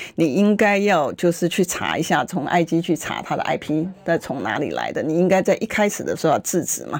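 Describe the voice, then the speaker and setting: Animated and touched with vocal fry, a woman's fairly low voice moves at a moderate pace with hardly any pauses and ordinary pitch variation. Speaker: legislator. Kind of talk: political talk radio interview. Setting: radio studio.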